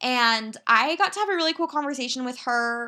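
A woman speaks fairly quickly in a raised, projected voice, high-pitched and bright, sharp in tone, with lively intonation. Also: very clean recording, silent background. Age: 20s. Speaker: podcast host. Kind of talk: solo podcast monologue. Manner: casual, chatty.

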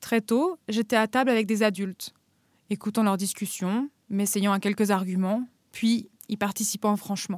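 At a fairly slow pace and medium pitch, a woman with an unremarkable speaking voice keeps her intonation fairly even. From France, Paris then Normandy. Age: 30s. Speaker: guest sharing personal story. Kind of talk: scripted narration.

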